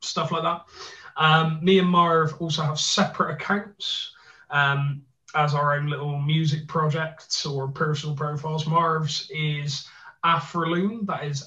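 Speaking with a Bristolian accent, a man has a fairly high pitch and a bright, sharp tone. His pace is very slow. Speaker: podcast co-host.

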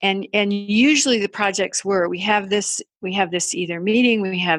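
Speaking at a medium pitch, a woman keeps a fairly slow pace and fairly even intonation. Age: 60s. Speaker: artist and creativity coach. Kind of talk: interview conversation. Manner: halting.

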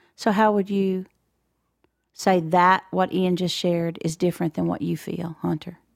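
A woman with an American accent speaks at a moderate pace in a fairly low pitch, her intonation flat and monotone. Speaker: podcast co-host. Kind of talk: interview conversation.

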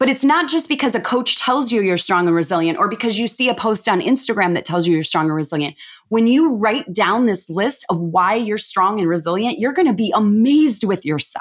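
A woman's fairly high voice, animated in tone, with very wide pitch swings, very even loudness and a fairly quick pace. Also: hardly any pauses. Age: 50s. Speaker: business and life coach. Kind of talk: casual interview chat.

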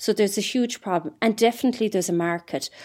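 Very fast speech from a woman with an Irish accent and ordinary pitch variation. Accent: Irish (Mayo). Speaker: entrepreneur. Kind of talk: interview. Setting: remote recording. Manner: halting.

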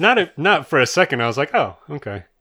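A man with vocal fry and a bright, sharp tone talks with very wide pitch swings. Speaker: podcast co-host. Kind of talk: casual chat.

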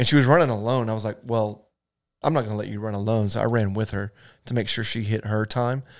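Here a man talks at a very fast pace with medium pitch and fairly even intonation. The recording is very clean, with a silent background. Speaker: church staff member and runner. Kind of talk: casual chat.

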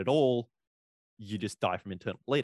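A man with an Australian accent is captured on a very clean recording with a silent background, the sound dry and close with no echo. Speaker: DJ and paintball player. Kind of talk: casual chat.

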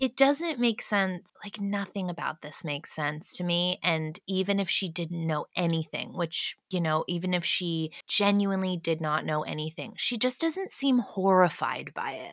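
In an American accent, a woman speaks at a medium pitch with lively intonation. She keeps a moderate pace with hardly any pauses, and the sound is dry and close with no echo. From United States. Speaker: singer-songwriter. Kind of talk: casual chat.

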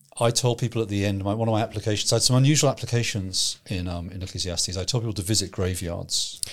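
A very fast, somewhat breathy man at a fairly low pitch, on a very clean recording with a silent background. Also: ordinary pitch variation. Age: 50s. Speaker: pastor and theology trainer. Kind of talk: casual theological discussion.

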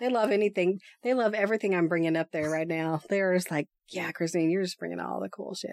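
In an American accent, a woman with a fairly low pitch and ordinary pitch variation speaks at a very fast pace, the sound dry and close with no echo. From East Texas. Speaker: podcaster. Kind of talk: casual chat.

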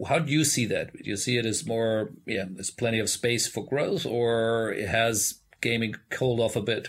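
A man with an unremarkable speaking voice talks at a moderate pace with hardly any pauses. His pitch is medium, with ordinary variation. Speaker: podcast host. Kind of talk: interview conversation. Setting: remote recording from Thailand.

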